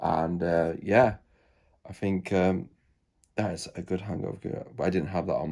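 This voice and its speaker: Drawling in a very deep, low voice, a man speaks with a dark, mellow tone over a quiet background. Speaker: vlogger. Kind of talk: casual vlog chat. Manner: sluggish, hungover, low-energy drawl. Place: home room. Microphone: phone near.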